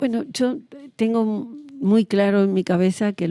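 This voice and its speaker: Her tone is dark and mellow, with ordinary pitch variation at a moderate pace. This woman's voice sounds dry and close, without echo. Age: 70s. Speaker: historian. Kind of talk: interview.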